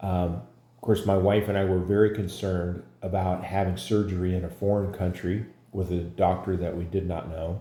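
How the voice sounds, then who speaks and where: In a room with audible echo, a man speaks at a moderate pace with a very deep, low pitch, a dark, mellow, somewhat breathy tone, and monotone, flat intonation. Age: 60s. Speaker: patient. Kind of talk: testimony. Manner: halting, many fillers.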